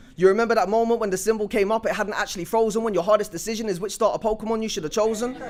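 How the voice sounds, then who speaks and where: Over noticeable background noise, the speech runs at a very fast pace with fairly even intonation and hardly any pauses. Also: man, high pitch for a man. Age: 20s. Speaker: spoken word poet. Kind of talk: spoken word performance. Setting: stage with audience.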